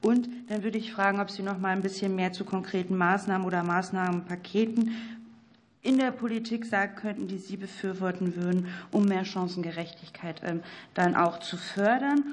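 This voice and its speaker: A plain, everyday voice talks at a moderate pace. The intonation stays fairly even. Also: woman, medium pitch for a woman. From North Rhine-Westphalia. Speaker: member of parliament. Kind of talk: questions at a parliamentary hearing. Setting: parliamentary committee hearing room.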